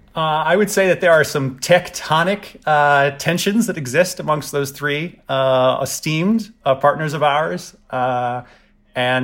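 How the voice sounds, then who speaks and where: Here is a man with an American accent and a plain, everyday voice. He talks at a fairly slow pace with a fairly high pitch and ordinary pitch variation. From US South. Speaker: TEDx licensee and event organizer. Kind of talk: casual interview about partnerships. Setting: video call.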